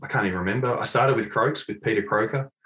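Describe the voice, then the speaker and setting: This is a man speaking with an Australian accent. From Australia, Mount Eliza, Victoria. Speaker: golf club fitting specialist. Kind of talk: casual interview.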